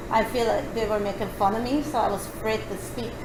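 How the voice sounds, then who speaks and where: Speech at a moderate pace comes through with noticeable background noise and audible room echo. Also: woman. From Honduras, Roatán island. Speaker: former English learner. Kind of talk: interview. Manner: hesitant, with fillers.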